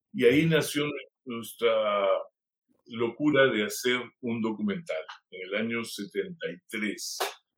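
A man speaks very slowly, his loudness rising and falling in big swings. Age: 70s. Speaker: film director. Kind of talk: interview.

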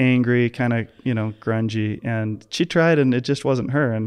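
A man's unremarkable speaking voice at medium pitch and moderate pace over a quiet background. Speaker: podcast host, chiropractor. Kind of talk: casual interview chat.

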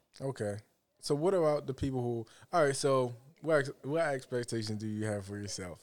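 On a very clean recording with a silent background, a man talks at a fairly quick pace. His medium pitch shows ordinary pitch variation. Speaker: podcast co-host, aspiring filmmaker. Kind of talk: casual chat. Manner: animated.

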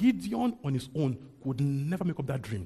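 The speaker is a man with a dark, mellow tone. His voice is somewhat breathy and medium in pitch. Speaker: preacher. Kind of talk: sermon. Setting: church. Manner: fast talker.

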